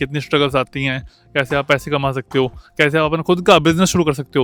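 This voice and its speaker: Over music in the background, a man with a fairly high pitch speaks at a moderate pace in a monotone, flat intonation, with a dry, close sound and no echo. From India, Ambala, Haryana. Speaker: podcast host. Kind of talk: casual interview. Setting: outdoors at a construction site.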